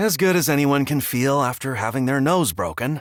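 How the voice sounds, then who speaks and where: A man puts on a character voice at a medium pitch. His intonation is lively and his pace moderate. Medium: read story.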